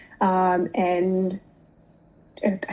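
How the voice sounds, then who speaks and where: A woman's somewhat breathy, medium-pitched voice with a dark, mellow tone. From Pakistan, moved to UK at fifteen. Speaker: tech sales representative. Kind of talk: interview. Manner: hesitant, many fillers.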